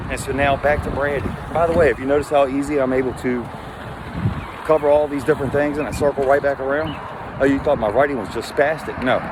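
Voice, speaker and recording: The speaker talks at a very fast pace with an American accent. Noticeable background noise sits behind the voice. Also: man, fairly high pitch for a man. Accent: country accent, stronger in Florida. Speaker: martial arts instructor vlogger. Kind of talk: personal vlog monologue. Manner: animated.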